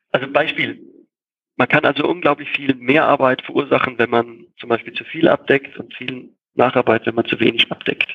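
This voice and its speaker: A man with a medium-pitched, a plain, everyday voice talks at a moderate pace with fairly even intonation. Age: 40s. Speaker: software company co-founder and master painter. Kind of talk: interview.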